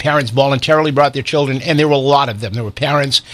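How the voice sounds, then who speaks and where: A man with a fairly high pitch speaks in a normal speaking voice, with ordinary pitch variation. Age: 60s. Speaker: radio talk show host. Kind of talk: radio interview debate.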